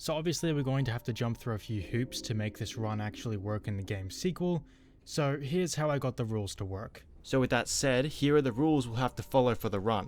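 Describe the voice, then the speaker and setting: With music in the background, the speaker talks at a fairly quick pace in an Australian accent with hardly any pauses. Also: man, medium pitch for a man, ordinary pitch variation. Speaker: gaming youtuber. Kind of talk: gameplay commentary. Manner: casual.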